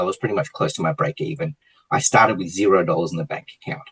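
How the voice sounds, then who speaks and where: At a very fast pace, a man talks with vocal fry and very wide pitch swings in a dry, close sound with no echo. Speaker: gym franchise owner, entrepreneur. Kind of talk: interview. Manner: loud; energetic.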